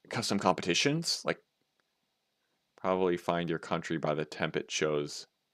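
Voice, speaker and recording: In an American accent, this voice moves at a moderate pace with ordinary pitch variation and long, frequent pauses, on a very clean recording with a silent background. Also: man, very deep, low pitch for a man, dry, close sound with no echo. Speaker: game developer streamer. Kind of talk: casual live stream chat. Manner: animated.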